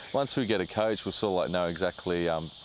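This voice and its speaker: A man talks at a very fast pace with an Australian accent. His pitch is very deep and low. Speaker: soccer player. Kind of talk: interview.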